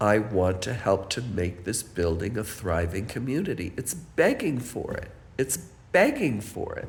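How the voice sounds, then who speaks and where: With audible room echo, a man talks at a fairly slow pace in a somewhat breathy, medium-pitched voice that makes very wide pitch swings. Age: 70s. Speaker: building resident. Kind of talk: personal testimony.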